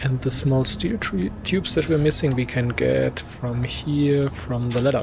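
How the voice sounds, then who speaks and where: A man with a German accent speaks at a fairly slow pace, with a medium pitch and ordinary pitch variation, and hardly any pauses. Noticeable background noise runs behind him. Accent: non-native English, German. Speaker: gaming let's play creator. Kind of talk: gameplay commentary. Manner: casual, some self-corrections.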